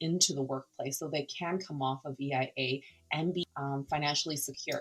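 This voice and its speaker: A woman with a Canadian accent speaks at a moderate pace. Her pitch is very deep and low, and her intonation stays fairly even. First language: Cantonese. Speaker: non-profit founder. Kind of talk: interview conversation.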